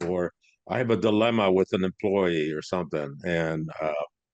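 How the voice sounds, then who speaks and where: Very deep and low, a man's voice carries lively intonation with a Midwestern American accent. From US Midwest, Cleveland, Ohio. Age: 60s. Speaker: business consultant and speaker. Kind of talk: interview podcast. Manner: casual, hesitant fillers.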